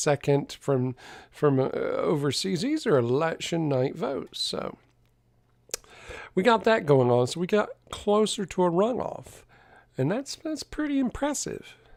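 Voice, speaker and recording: A man with a Southern accent, fairly slow in pace, with very wide pitch swings. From US South. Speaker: tarot reader streamer. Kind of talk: live stream chat. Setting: live stream.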